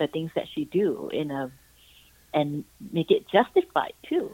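In an American accent, a woman talks at a fairly slow pace with a fairly low pitch. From Singapore. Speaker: author, actress and YouTuber. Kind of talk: phone interview. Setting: phone call. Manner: hesitant, many fillers.

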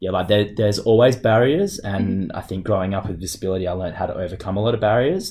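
On a very clean recording with a silent background, a man with a dark, mellow tone and fairly low pitch speaks at a fairly quick pace with fairly even intonation. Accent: Australian. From Australia, Perth. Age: 30s. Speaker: wheelchair basketball player. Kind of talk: interview. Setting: office.

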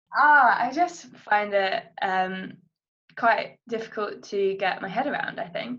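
This woman's tone is bright and sharp. She talks very slowly. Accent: British. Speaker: podcast host. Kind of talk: casual chat.

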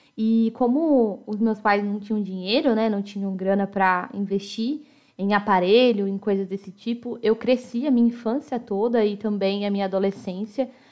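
A woman's normal speaking voice, fairly high in pitch, with fairly even intonation at a moderate pace. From Americana, São Paulo state, Brazil. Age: 20s. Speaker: podcast host. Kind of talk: personal storytelling monologue.

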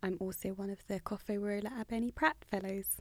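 A woman's voice at a medium pitch. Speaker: clinician. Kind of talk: interview.

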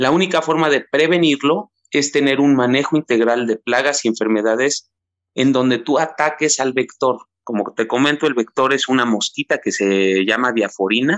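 At a moderate pace, the speaker uses a plain, everyday voice with very even loudness and ordinary pitch variation, in a dry, close sound with no echo. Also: man, medium pitch for a man. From Mexico, Teziutlán, Puebla. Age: 30s. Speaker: citrus farmer and website co-founder. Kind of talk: interview.

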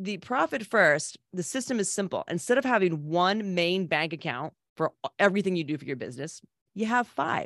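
Here is a woman with an American accent, a normal speaking voice and a medium pitch. She talks at a moderate pace with lively intonation. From Connecticut, New England. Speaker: restaurant business consultant and author. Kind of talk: casual interview.

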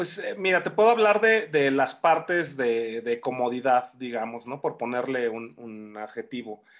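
Against a quiet background, a man at medium pitch speaks at a fairly slow pace with hardly any pauses, lively intonation and big swings in loudness. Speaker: film director. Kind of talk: interview. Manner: halting, many repetitions.

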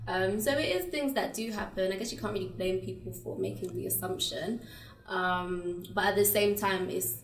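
A woman with a British accent speaks at a medium pitch and a moderate pace. Her pitch swings very widely against noticeable background noise. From England (British-Ugandan). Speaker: content creator and pageant winner. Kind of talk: casual interview.

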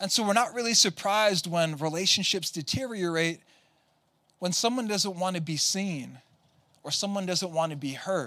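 A man uses a raised, projected voice at a high pitch. His pace is moderate and his pitch variation ordinary. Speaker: visiting pastor. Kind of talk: sermon. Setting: church with congregation.

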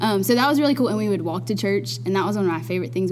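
Over noticeable background noise, a woman with an Alabama accent talks very fast, her pitch swinging very widely. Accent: Southern US (Alabama). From US South, Dothan, Alabama. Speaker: nursing student. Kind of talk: casual chat. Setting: studio.

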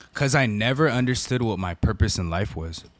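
A man with an American accent has a normal speaking voice, pitched fairly low. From US West Coast (Southern California). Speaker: prison minister and former gang member. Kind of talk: casual chat.

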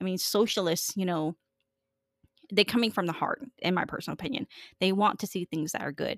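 A woman's voice with ordinary pitch variation and long, frequent pauses, in a dry, close sound with no echo. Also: medium pitch for a woman. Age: 30s. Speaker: podcast host. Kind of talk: casual interview. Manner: halting.

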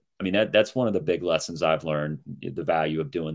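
A man's very deep, low pitch at a fairly quick pace with ordinary pitch variation. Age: 50s. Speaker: author. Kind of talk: casual chat.

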